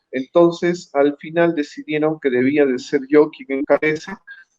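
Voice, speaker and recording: The man's pitch is fairly high and his intonation flat and monotone. He speaks at a fairly slow pace. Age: 60s. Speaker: presidential candidate, lawyer. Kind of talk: interview. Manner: halting, frequent fillers.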